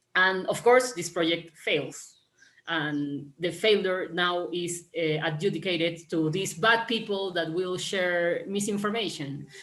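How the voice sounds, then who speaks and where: In a Spanish accent, a woman with a fairly low pitch speaks at a fairly slow pace with ordinary pitch variation, and the room echo is audible. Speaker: panelist, urban planning practitioner. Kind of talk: panel discussion. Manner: halting, many fillers and repetitions.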